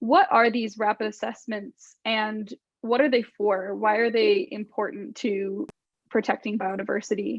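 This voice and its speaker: A woman with an ordinary speaking voice talks at a fairly slow pace in a fairly high pitch, with ordinary pitch variation. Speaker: podcast host; conservation country manager. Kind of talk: interview question.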